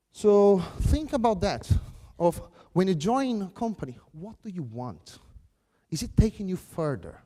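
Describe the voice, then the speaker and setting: A man speaks at a fairly slow pace with a high pitch, a dark, mellow tone and a Brazilian Portuguese accent. His pitch swings very widely, his loudness shifts a lot, and long pauses come often. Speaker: software craftsmanship speaker. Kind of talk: conference keynote.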